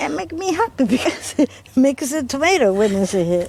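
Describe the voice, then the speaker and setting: A woman speaks at a moderate pace with very wide pitch swings, over noticeable background noise. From Calabria, southern Italy. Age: 80s+. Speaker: home gardener. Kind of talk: casual chat. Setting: outdoors.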